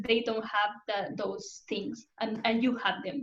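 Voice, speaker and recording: With a somewhat breathy voice and a Spanish accent, a woman talks at a fairly high pitch. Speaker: UX design community host. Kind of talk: online community talk Q&A.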